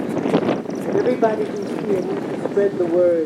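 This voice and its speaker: A woman with an American accent, with noticeable background noise. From New York City. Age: 80s+. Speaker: community member at public forum. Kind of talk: public speech at community forum. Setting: outdoors at public forum. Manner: impassioned.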